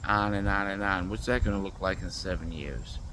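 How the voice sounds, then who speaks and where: There is audible room echo as a man speaks at a moderate pace in a fairly low pitch. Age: 60s. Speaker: vlogger. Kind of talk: casual monologue.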